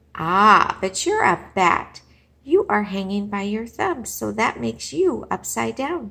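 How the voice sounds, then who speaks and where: Loud and in a put-on character voice, a woman speaks fairly slowly at a medium pitch. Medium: read story. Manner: blunt, confident.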